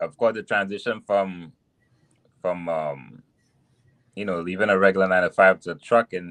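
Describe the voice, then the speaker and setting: A man with a Trinidadian accent speaks at a moderate pace in a very deep, low voice, leaving long, frequent pauses. His intonation stays fairly even, and the sound is dry and close with no echo. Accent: Trinidadian island. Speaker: truck driver. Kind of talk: podcast interview. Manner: halting, many restarts.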